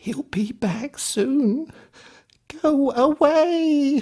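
Quietly, a man uses a put-on character voice pitched extremely high. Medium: read story. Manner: hushed, nervous.

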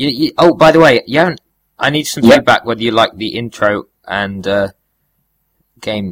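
A man with a British accent speaks at a moderate pace, at medium pitch with ordinary pitch variation. The sound is dry and close, with no echo. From Britain. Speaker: podcast co-host. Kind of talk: casual chat.

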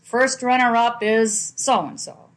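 A woman with a New England accent speaks at a fairly high pitch. The background is quiet. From Manchester, New Hampshire. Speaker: guest's parent, storyteller. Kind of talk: storytelling. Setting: on location at a family home.

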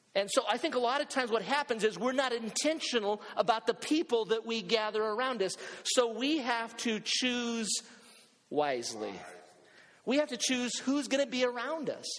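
Speaking in an animated tone at a moderate pace, a man has an extremely high pitch. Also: ordinary pitch variation. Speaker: pastor; preacher. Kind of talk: sermon to a live congregation, building to urgent exhortation. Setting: church with congregation, also streamed online. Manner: animated, emphatic, rallying the crowd with repeated calls and questions.

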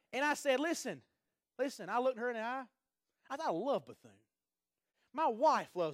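An animated man speaks at an extremely high pitch and a fairly quick pace, with lively intonation, big swings in loudness, and long, frequent pauses. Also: very clean recording, silent background. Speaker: pastor. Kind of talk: sermon. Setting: church.

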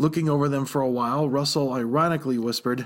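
Simply plain reading aloud

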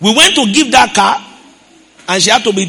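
Against noticeable background noise, a man with a high pitch speaks in a raised, projected voice at a moderate pace. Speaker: pastor. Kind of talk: sermon. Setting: church.

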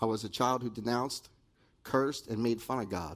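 With an American accent and an unremarkable speaking voice, a man talks at a fairly quick pace and medium pitch, his intonation fairly even. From New Jersey. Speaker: recovery ministry member giving testimony. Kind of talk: testimony. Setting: stage with audience.

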